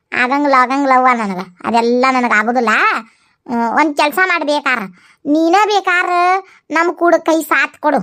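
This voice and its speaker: Using a cartoonish character voice, a woman speaks at a high pitch with lively intonation and a moderate pace. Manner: loud, scolding.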